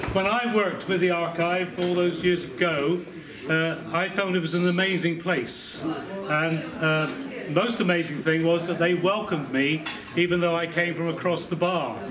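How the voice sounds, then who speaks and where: A man speaks in a high pitch with fairly even intonation and very even loudness. Noticeable background noise can be heard. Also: moderate pace. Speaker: guest. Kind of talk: after-dinner speech. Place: hall. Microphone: camera far.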